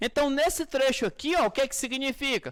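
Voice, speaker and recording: Speaking at a moderate pace, a man uses an extremely high pitch and an animated tone. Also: very clean recording, silent background. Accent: Brazilian. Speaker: physics teacher. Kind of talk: lecture.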